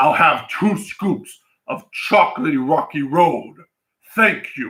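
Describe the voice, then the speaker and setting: A man puts on a character voice with a high pitch. He speaks at a fairly slow pace with lively intonation. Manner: innocent, polite.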